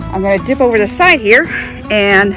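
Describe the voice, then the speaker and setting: A woman talks at a moderate pace with ordinary pitch variation. The sound is dry with no echo, and music plays clearly in the background. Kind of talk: casual vlog chat. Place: garden. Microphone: phone near.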